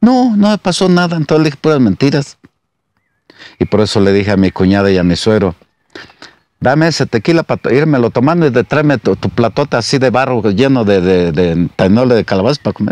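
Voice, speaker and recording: A man speaks at a fairly quick pace with very wide pitch swings. The sound is dry, without echo. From Jalisco, Mexico (Capilla de Guadalupe); Jalisco, Mexico. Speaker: former local official and musician; storyteller. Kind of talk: storytelling. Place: garden. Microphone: lapel.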